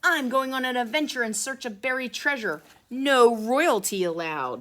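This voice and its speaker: A bellowing, put-on character voice that sounds female comes through at a high pitch and a moderate pace. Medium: read story. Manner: bellowing, hearty pirate talk.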